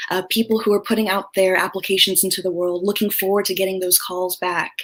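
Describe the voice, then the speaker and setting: Soft-spoken and monotone with flat intonation, a woman speaks at a very fast pace over noticeable background noise. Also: medium pitch for a woman. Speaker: career coach. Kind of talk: interview.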